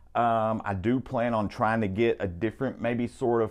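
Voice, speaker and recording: A man speaks with a strong Southern US accent against a quiet background. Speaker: guitar shop video host. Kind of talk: product demo. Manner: enunciating carefully; animated.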